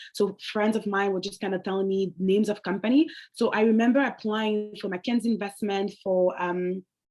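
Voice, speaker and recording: A woman with a French accent talks at medium pitch and a fairly quick pace. Her intonation is fairly even, with hardly any pauses. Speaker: alumni panelist. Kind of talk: panel discussion.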